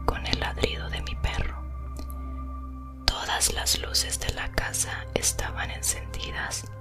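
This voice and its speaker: A woman whispers at a very slow pace. Music plays in the background. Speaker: ASMR creator. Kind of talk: horror story reading. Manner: whispered.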